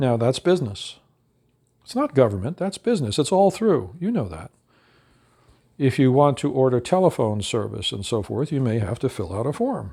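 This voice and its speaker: On a very clean recording with a silent background, a man with an American accent sounds somewhat breathy at medium pitch, moving at a moderate pace with very wide pitch swings. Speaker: educator on veterans' benefits claims. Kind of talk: lecture.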